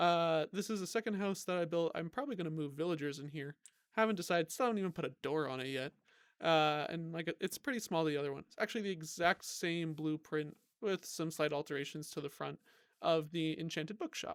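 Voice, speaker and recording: Fairly quick and fairly high in pitch, a man's plain, everyday voice shows ordinary pitch variation on a very clean recording with a silent background and a dry, close sound with no echo. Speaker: gaming YouTuber. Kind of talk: gameplay commentary.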